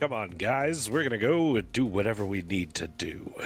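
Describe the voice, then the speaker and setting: Putting on a raspy character voice, a man talks at a moderate pace and medium pitch with very wide pitch swings. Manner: pompous.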